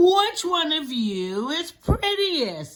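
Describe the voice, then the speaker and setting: An extremely high, put-on character voice is heard. Its pitch swings very widely. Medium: read story.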